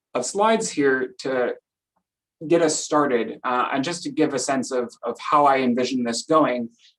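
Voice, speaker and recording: A man with an American accent speaks at a moderate pace. His pitch is fairly high, with ordinary pitch variation. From Minnesota. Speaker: professor. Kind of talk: lecture.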